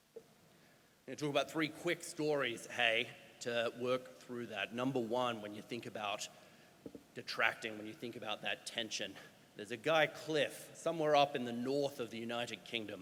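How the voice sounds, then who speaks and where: Speaking with an Australian accent at a moderate pace, a man uses a medium pitch with ordinary pitch variation and big swings in loudness. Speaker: doctor and healthcare climate speaker. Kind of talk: conference talk. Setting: stage with audience. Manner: animated.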